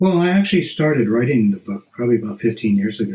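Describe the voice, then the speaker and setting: A man with an American accent talks at a very fast pace, with lively intonation. His voice is somewhat breathy. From US West Coast, San Fernando Valley. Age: 60s. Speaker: author. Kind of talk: interview.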